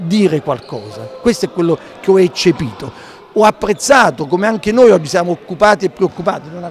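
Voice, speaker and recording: A man talks at a fairly quick pace with big swings in loudness. Light background noise is present. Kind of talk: interview answer. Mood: indignant, critical. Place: hall. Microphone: handheld.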